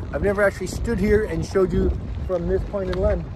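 A man is speaking over loud background noise. The sound is dry, with no echo. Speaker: boat-living vlogger. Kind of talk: casual vlog chat. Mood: cheerful, relaxed. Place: waterside. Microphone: phone near.

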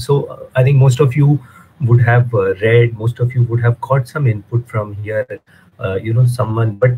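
A somewhat breathy man at a moderate pace with fairly even intonation, light background noise. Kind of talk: judge's feedback remarks. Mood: warm, appreciative. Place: home room. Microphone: video call.

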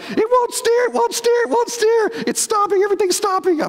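An extremely high, squeaky put-on character voice moves at a fairly quick pace. Noticeable background noise runs underneath. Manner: repeating phrases in a frantic rush.

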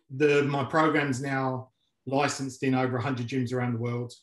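Against a quiet background with audible room echo, a man talks at a fairly slow pace in a monotone, flat way, with long, frequent pauses. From London. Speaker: mixed martial arts coach and entrepreneur. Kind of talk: casual interview. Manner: halting, many filler words. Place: home room. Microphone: video call.

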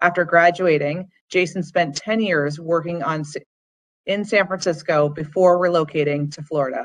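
This woman has an ordinary speaking voice, fairly low in pitch, with fairly even intonation at a moderate pace. The background is quiet. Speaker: alumni relations staff. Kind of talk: formal event introduction. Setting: video call. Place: home room. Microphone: video call.

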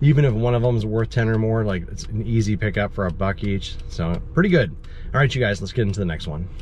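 Speaking at a fairly quick pace, a man is recorded with a dry sound with no echo and light background noise. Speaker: reseller vlogger. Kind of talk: casual vlog chat. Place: car. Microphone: phone near.

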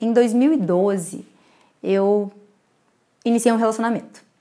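Dark, mellow tone from a woman, fairly slow, with ordinary pitch variation. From Brazil. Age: 30s. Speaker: photographer. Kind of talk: lecture. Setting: recorded talk to camera. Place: home room.

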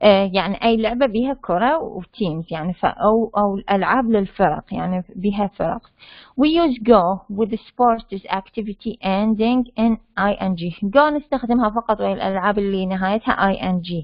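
A woman's unremarkable speaking voice at medium pitch, fairly slow pace and ordinary pitch variation. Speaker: university lecturer teaching English. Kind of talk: lecture. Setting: online class with chat and mute. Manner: explanatory, code-switching between Arabic and English.

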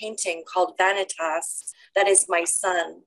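Over a quiet background, a woman talks at a fairly slow pace. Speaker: poet. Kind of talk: poetry reading. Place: home room. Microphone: webcam.

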